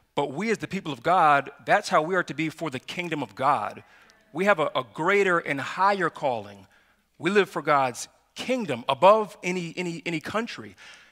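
A man talks at a moderate pace. Behind him, all is quiet. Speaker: pastor. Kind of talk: sermon. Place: church.

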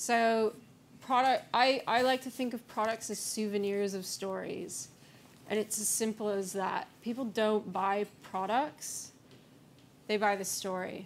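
A woman's fairly high voice with fairly even intonation over light background noise. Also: fairly slow pace. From US-Canada border region. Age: young. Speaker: brand strategist; conference speaker. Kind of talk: conference talk. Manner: hesitant, many fillers. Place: hall. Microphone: podium.

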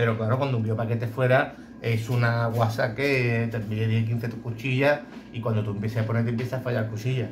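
Music plays in the background as a man talks at a fairly quick pace. His intonation is monotone and flat. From Andalusia, Bay of Cádiz. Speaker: blade sharpener for dog grooming clippers. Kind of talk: casual tutorial video. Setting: workshop. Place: workshop. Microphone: phone near.

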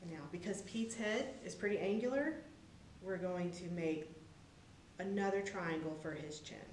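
Over light background noise and audible room echo, a woman speaks at a moderate pace with lively intonation. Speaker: presenter. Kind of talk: tutorial. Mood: warm, friendly, upbeat. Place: hall.

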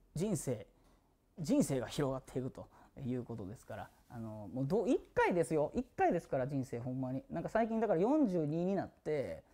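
This man's fairly high voice rises and falls in very wide pitch swings. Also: moderate pace, big swings in loudness. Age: 40s. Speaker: singer streaming a birthday live broadcast; musician hosting his birthday stream. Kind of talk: casual solo livestream talk. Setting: studio. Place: studio.

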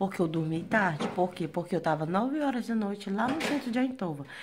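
Over noticeable background noise, a woman speaks at a moderate pace, somewhat breathy, with lively intonation. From Brazil, Porto Velho, Rondônia (North). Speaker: vlogger. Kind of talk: casual vlog. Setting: outdoors after a run. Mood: tired, recounting hard day. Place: home room. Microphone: phone near.

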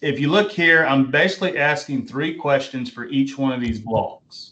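His tone comes across bright and sharp. The man keeps to a moderate pace. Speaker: college English instructor. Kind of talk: lecture. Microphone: video call.

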